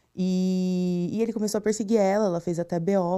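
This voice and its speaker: Her tone is dark and mellow, her pitch medium, and her intonation fairly even. The woman speaks at a moderate pace on a very clean recording with a silent background. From interior of São Paulo state, Brazil (Tupã). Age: 30s. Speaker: guest sharing personal story, advertising professional. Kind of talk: testimony. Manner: halting, with hesitations.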